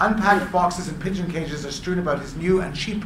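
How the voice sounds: With fairly even intonation, the voice is a natural reading voice.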